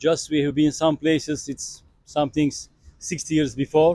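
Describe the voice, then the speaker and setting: A man's fairly high voice with a Turkish accent, in a dry, close sound with no echo. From Turkey. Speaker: tourist interviewee. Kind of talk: street interview. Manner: halting.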